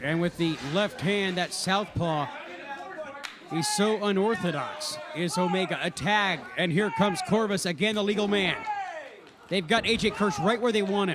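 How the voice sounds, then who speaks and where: A man with a high pitch speaks at a moderate pace and ordinary pitch variation. Crowd noise is in the background. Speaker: wrestling commentator. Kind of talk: live wrestling play-by-play commentary.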